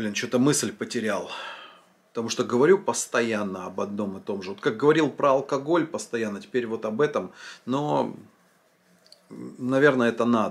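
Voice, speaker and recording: A man with vocal fry and lively intonation at a moderate pace, with long, frequent pauses. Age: 40s. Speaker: vlogger, former drinker; vlogger. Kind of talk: monologue answering a viewer comment. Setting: filming at home. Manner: casual, conversational. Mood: reflective, earnest, some swearing. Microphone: phone near.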